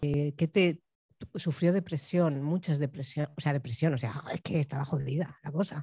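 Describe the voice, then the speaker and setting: In a Spanish accent, a woman with a very deep, low pitch speaks at a moderate pace, somewhat breathy and dark, mellow in tone, with fairly even intonation, in dry sound with no echo and a quiet background. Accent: Peninsular Spanish. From Spain. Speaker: choreographer and bookseller. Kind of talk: Q&A after a performance. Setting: university auditorium with audience. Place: stage. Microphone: handheld.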